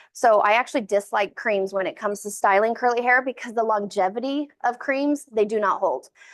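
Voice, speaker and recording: Against a quiet background, a woman speaks at a fairly high pitch with ordinary pitch variation. Her pace is fairly quick, with hardly any pauses. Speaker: curly hair stylist and educator. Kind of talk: hands-on tutorial class. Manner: fast.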